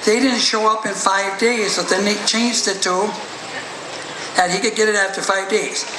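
A man speaks in a raised, projected voice at a moderate pace with fairly even intonation over noticeable background noise. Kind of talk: acceptance speech telling family history. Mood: proud, heartfelt. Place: tent. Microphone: podium.

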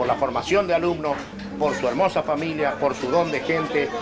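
A man talks at a moderate pace with loud noise in the background. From Neuquén, Argentina. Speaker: poet. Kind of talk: birthday toast speech. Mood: warm, heartfelt. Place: home room. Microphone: old recording.

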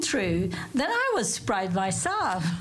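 A woman's slow-ish delivery in a Turkish accent, with very wide pitch swings, noticeable background noise and audible room echo. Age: 50s. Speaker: coffee cup reader, tourism worker. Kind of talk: casual interview.

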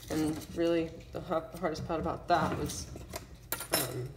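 Amid audible room echo, a woman with a low pitch speaks at a fairly slow pace, her intonation fairly even.

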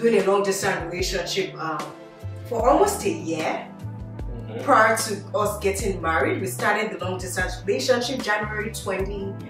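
A woman speaks at a moderate pace with audible room echo and music in the background. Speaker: host. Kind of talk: casual group vlog chat. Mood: cheerful, laughing. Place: home room.

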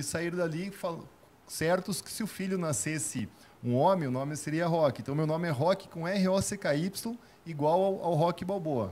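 A man's fairly quick speech shows ordinary variation in pitch. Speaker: businessman, sales expert; sales expert. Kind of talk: interview. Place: studio. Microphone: handheld.

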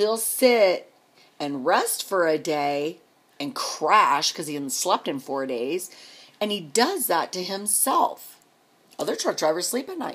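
Speaking at a fairly slow pace, a woman moves through very wide pitch swings. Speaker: vlogger and truck driver's wife. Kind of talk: angry personal rant to camera, venting about her absent husband. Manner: indignant, escalating, sarcastic rhetorical questions; rambling, repetitive and exasperated. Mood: angry, frustrated. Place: home room. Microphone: phone near.

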